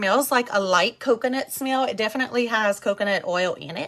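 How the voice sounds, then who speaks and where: A woman at a moderate pace with fairly high pitch and ordinary pitch variation, an ordinary speaking voice, and a quiet background. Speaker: skincare seller and vlogger. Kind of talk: casual live-stream product demo. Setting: live stream.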